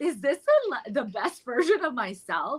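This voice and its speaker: Speaking at a moderate pace with lively intonation, a woman has a slight Colombian accent. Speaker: therapist in private practice. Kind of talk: podcast panel conversation. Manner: halting, many fillers.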